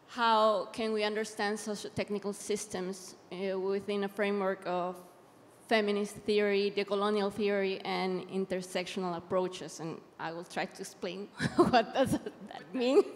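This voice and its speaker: A woman speaks with a Latin American accent at a medium pitch and a moderate pace. Her intonation stays fairly even while her loudness swings widely. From Mexico / Ecuador. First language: Spanish. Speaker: academic and digital rights activist. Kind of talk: panel talk from notes.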